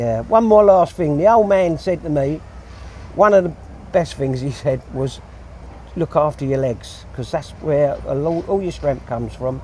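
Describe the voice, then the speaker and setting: Noticeable background noise runs behind the speaker. A man talks with lively intonation. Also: fairly high pitch for a man, fairly slow pace. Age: 60s. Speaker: hod carrier. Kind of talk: casual interview.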